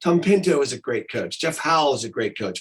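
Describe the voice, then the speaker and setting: Lively in intonation and fairly quick, a man speaks at a fairly high pitch with vocal fry. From California. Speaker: voiceover artist and improv coach. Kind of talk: interview.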